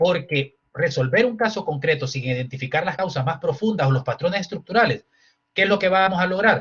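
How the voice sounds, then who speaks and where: At a fairly quick pace, a man with a high pitch speaks with lively intonation. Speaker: human rights lawyer. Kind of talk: lecture. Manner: fast.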